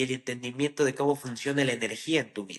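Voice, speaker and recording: A man at medium pitch speaks in a bright, sharp tone. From Ecuador. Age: 20s. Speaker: trader. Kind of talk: interview. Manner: halting.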